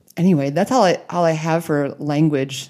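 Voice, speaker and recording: A woman speaks in a dark, mellow tone. Her intonation is fairly even. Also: very clean recording, silent background. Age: 30s. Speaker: podcast host. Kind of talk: casual interview.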